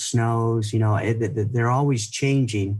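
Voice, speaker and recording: He is a man with a medium pitch and a somewhat breathy voice. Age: 60s. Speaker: ski filmmaker and skier. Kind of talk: interview. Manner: halting, many repeated words.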